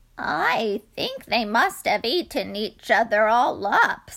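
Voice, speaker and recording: A woman puts on a character voice, pitched fairly high. Her intonation is lively and her pace fairly slow. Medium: read story.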